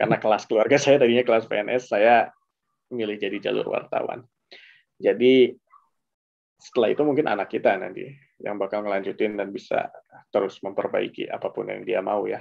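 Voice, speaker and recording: Set against a quiet background, the speech moves at a fairly quick pace. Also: man. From Indonesia. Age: 30s. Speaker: journalist and graduate student; journalist. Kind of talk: casual interview and presentation. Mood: relaxed, reflective. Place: home room. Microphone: headset.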